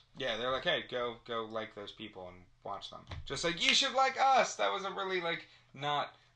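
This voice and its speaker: Over noticeable background noise, a man at a medium pitch speaks with very wide pitch swings and big shifts in loudness. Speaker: gaming podcast host. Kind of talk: casual chat. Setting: studio around a table. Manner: fast.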